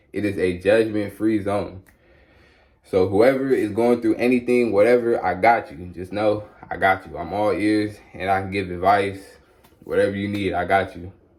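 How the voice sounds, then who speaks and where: A man with a plain, everyday voice speaks at a moderate pace and fairly low pitch, his intonation fairly even but his loudness swinging a lot. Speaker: YouTuber sharing spiritual testimony. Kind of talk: testimony monologue. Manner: casual, conversational.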